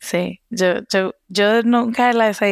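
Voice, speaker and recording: The very clean recording has a silent background and a dry, close sound with no echo, and the intonation stays fairly even. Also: woman. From Costa Rica. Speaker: research scientist. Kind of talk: casual conversation.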